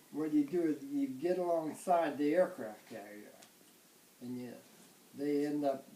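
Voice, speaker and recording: An American accent at a fairly slow pace, with noticeable background noise. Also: man. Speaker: World War II Navy veteran. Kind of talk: interview answer.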